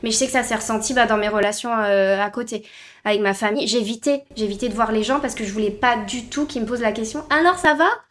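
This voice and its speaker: A woman with a plain, everyday voice speaks at a fairly quick pace, fairly high in pitch, with ordinary pitch variation. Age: 20s. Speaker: flight attendant. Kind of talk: casual interview.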